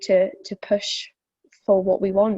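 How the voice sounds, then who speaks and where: Dark and mellow in tone, a woman with a slight Welsh accent speaks at a medium pitch. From South Wales. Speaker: fitness instructor. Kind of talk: interview. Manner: hesitant, many fillers.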